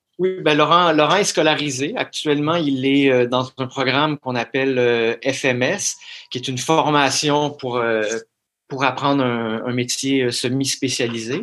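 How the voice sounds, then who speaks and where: At a very slow pace, a man talks with a fairly high pitch and fairly even intonation. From Quebec. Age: 40s. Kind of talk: interview. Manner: halting, frequent word repetitions.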